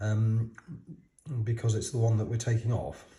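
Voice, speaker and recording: A man with a British accent talks at a moderate pace, his fairly low voice dark, mellow and somewhat breathy. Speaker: watch modding hobbyist. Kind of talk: tutorial. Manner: halting.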